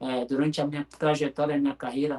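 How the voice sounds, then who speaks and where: At a fairly quick pace, a man speaks with a fairly high-pitched voice. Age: 40s. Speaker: futsal player. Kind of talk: interview.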